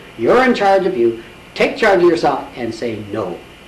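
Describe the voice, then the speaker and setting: A man's voice with very wide pitch swings at a moderate pace, plus audible room echo and noticeable background noise. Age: 70s. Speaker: author and spiritual healer. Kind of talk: interview.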